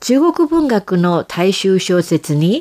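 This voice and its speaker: A woman speaks at a very slow pace in a medium pitch with lively intonation. The sound is dry and close, with no echo. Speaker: radio host. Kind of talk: radio commentary.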